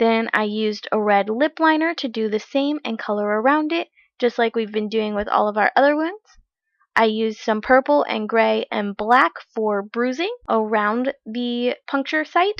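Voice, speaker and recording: A woman with a normal speaking voice talks at a moderate pace. Her pitch is fairly high, with ordinary pitch variation. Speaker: makeup tutorial creator. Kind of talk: tutorial.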